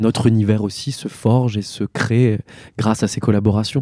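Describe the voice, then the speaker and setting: Dry and close with no echo, this very clean recording with a silent background captures a man with a dark, mellow tone and fairly low pitch, speaking at a moderate pace with fairly even intonation. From Alsace, France. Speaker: actor and theatre director. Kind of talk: interview. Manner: hesitant, many fillers.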